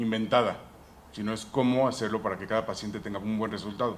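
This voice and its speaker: Monotone, flat delivery at a fairly quick pace, with audible room echo. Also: man. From United States (Mexican family). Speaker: dentist, implant specialist, conference speaker. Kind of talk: conference talk.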